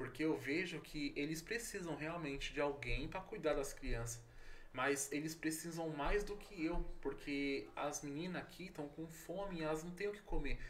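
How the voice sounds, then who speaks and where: The man's pitch variation is ordinary, and audible room echo colors the recording. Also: fairly high pitch for a man, moderate pace. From São Paulo, Brazil. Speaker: pastor and missionary. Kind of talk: casual interview.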